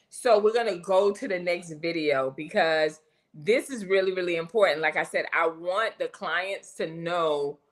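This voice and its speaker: A woman with a plain, everyday voice, a fairly low pitch and ordinary pitch variation at a moderate pace. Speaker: hair coach and live show host. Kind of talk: casual live stream chat. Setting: live stream.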